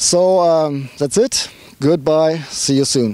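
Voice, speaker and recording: A man with a strong German accent talks at a fairly slow pace, his fairly high pitch carried in a dark, mellow tone on a dry, close recording with no echo. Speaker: car reviewer. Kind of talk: car review. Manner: animated.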